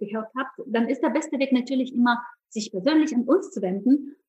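Her voice is high-pitched with a dark, mellow tone as the woman speaks at a moderate pace with ordinary pitch variation. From Ukraine. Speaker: company founder. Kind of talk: podcast interview. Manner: hesitant with fillers.

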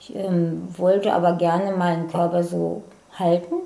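A woman speaks in an ordinary speaking voice at a medium pitch. Her pace is fairly slow. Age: 50s. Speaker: personal training client. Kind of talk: casual interview.

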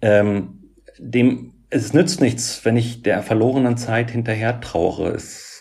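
Somewhat breathy, a man speaks very slowly at a medium pitch with fairly even intonation. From Germany, Göttingen (Lower Saxony). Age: 40s. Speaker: social worker and author with OCD. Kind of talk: interview about personal experience.

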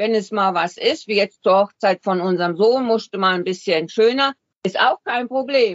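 This woman has an unremarkable speaking voice at a medium pitch. She moves at a moderate pace with ordinary pitch variation. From Switzerland. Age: 60s. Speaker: retiree living full-time in a motorhome. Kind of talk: interview.

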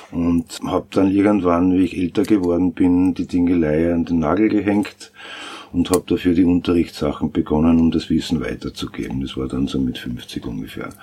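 A man with a very deep, low pitch, ordinary pitch variation and a moderate pace talks through noticeable background noise. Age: 50s. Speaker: sound engineer and studio owner. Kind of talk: interview. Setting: recording studio.

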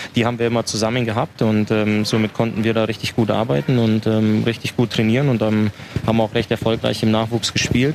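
A man's medium-pitched voice with fairly even intonation, against noticeable background noise. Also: fairly quick pace, very even loudness. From Upper Bavaria, Waldkraiburg. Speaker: ice hockey player. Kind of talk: casual interview. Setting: outdoors at a market.

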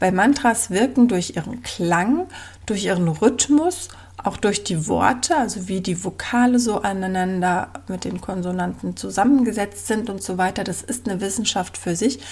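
A woman speaks at a moderate pace. Vocal fry runs through her voice. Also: medium pitch for a woman, ordinary pitch variation. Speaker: podcast host and business coach for mothers. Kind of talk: casual monologue.

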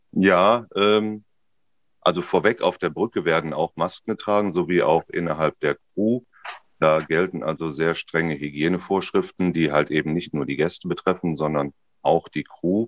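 A man with a very deep, low voice talks at a moderate pace with ordinary pitch variation, the sound dry and close with no echo. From Ruhr area, Germany. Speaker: cruise ship captain. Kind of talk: interview. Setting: video call.

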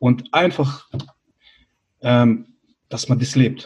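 This is a man with a somewhat breathy voice. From Bosnia, grew up in Germany from age six. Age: 30s. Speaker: life coach. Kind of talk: interview, personal life story.

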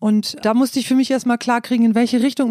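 A woman's fairly high voice with a dark, mellow tone, dry and close with no echo, in a very clean recording against a silent background. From northern Germany (East Frisia). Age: middle-aged. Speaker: musician. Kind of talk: interview.

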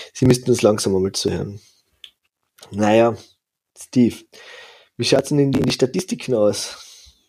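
A man with a dark, mellow tone, a moderate pace, ordinary pitch variation and long, frequent pauses. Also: medium pitch for a man. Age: 30s. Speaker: ice hockey podcast host. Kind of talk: casual chat.

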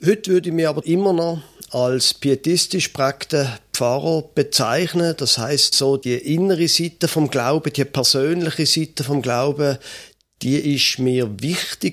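A man with a plain, everyday voice speaks at a fairly high pitch with ordinary pitch variation. His loudness is very even, and the recording is very clean with a silent background. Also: fairly slow pace. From Switzerland, Basel. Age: 50s. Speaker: pastor and podcast co-host. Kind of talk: casual conversation.

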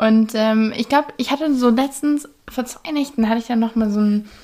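A woman speaks at a fairly quick pace with a dark, mellow tone. Her pitch variation is ordinary. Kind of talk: casual monologue. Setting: home bedroom. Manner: chatty, many fillers.

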